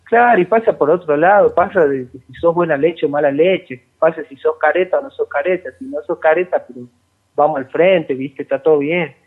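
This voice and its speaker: A man with a high voice talks at a fairly quick pace. His pitch varies in an ordinary way while his loudness swings widely. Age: 20s. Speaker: metal band guitarist. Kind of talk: casual interview.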